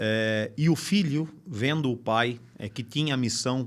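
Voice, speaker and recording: A man's medium-pitched voice at a very slow pace, with ordinary pitch variation, on a very clean recording with a silent background. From interior of São Paulo state, Brazil. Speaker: medical device company executive. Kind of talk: podcast interview. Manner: hesitant, frequent filler sounds.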